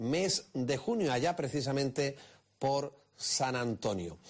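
Here a man talks at a very slow pace. His pitch variation is ordinary. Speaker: radio presenter. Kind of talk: broadcast presentation.

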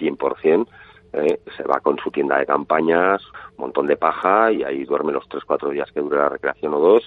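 A man's fairly slow speech is joined by noticeable background noise. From Navarre, Spain (Pamplona). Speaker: photographer. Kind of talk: interview. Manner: halting, many repetitions.

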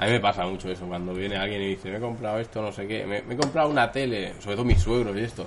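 A man's very fast, fairly low-pitched delivery with ordinary pitch variation, hardly any pauses, and noticeable background noise. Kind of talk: casual chat. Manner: poor enunciation.

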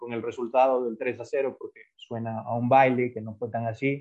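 A man speaks at a medium pitch with flat, monotone intonation. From Ecuador. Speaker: football analyst. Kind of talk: casual football analysis chat.

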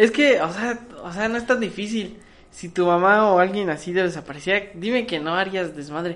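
An ordinary speaking voice from a woman at a medium pitch, with ordinary pitch variation, a moderate pace and big swings in loudness. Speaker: podcast co-host. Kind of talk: casual chat.

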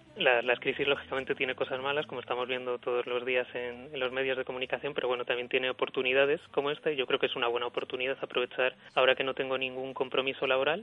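At a very fast pace with hardly any pauses, a man talks in a monotone, flat intonation at medium pitch. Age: 30s. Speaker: unemployed journalist. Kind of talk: radio interview testimony. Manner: hesitant, with fillers and repetitions.

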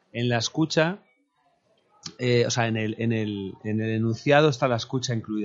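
A man speaks at a medium pitch in a plain, everyday voice. His pitch variation is ordinary. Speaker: musician. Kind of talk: casual chat.

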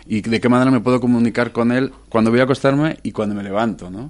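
At a moderate pace, a man talks in a plain, everyday voice of medium pitch with fairly even intonation. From Madrid, Spain. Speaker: musician and producer. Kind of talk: radio interview.

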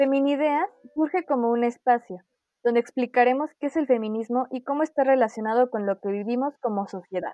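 Dark, mellow tone delivered at a moderate pace with ordinary pitch variation, in a dry, close sound with no echo. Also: woman. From Mexico City. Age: 20s. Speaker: podcast co-host, psychologist. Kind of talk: scripted narration.

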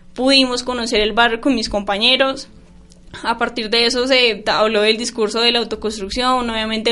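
A woman's fairly high, monotone voice with flat intonation at a fairly quick pace, music in the background. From Colombia, Boyacá. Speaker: university student. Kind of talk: radio interview.

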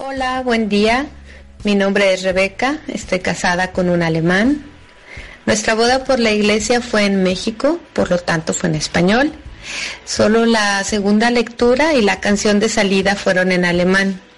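At a fairly slow pace, a woman speaks at medium pitch and very even loudness with ordinary pitch variation, in an unremarkable speaking voice. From Mexico, Guadalajara. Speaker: expatriate giving testimony. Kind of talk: testimony.

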